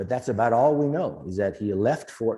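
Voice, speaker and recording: Over a quiet background, a man speaks with a fairly low pitch and a dark, mellow tone. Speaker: historian giving a talk. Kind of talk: lecture. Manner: fast.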